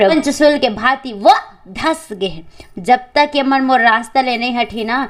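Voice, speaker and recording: This woman's voice is high-pitched with lively intonation. Noticeable background noise runs underneath. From Chhattisgarh. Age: 20s. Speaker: folk singer and storyteller. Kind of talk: epic folk narration.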